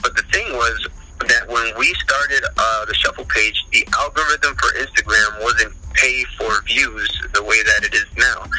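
A man with an American accent speaks at a fairly slow pace, his loudness very even. Noticeable background noise runs under his voice. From New Jersey. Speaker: dance community organizer, Marine veteran. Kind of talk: casual interview.

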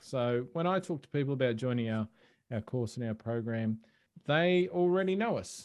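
A man speaks at a medium pitch with an Australian accent. His intonation is lively. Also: moderate pace. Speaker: e-commerce coach and podcaster. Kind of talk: casual interview chat.

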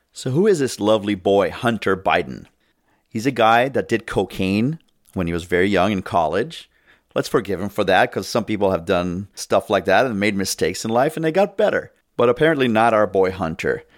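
At a fairly quick pace, a man with a fairly low pitch speaks in an animated tone with lively intonation. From immigrant to US. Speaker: political podcast host. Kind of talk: political commentary monologue. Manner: animated, opinionated.

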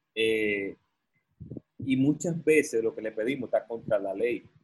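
A man takes a fairly slow pace, his voice somewhat breathy. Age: 30s. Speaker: entrepreneur and consultant. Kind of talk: podcast interview.

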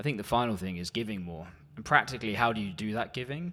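Heard in a very clean recording over a silent background, a man with a British accent speaks at a fairly quick pace. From UK. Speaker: church warden. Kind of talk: church presentation. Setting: church.

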